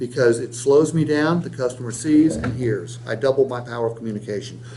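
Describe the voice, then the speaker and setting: A speaker with an American accent talks at a fairly quick pace, with ordinary pitch variation and noticeable background noise. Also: man, medium pitch for a man. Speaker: sales trainer. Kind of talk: sales training role-play. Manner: fast.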